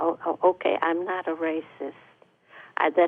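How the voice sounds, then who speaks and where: Delivery comes at a fairly slow pace. Intonation stays monotone and flat throughout. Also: woman. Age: 80s+. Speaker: audience member. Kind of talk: public question at town hall. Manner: halting.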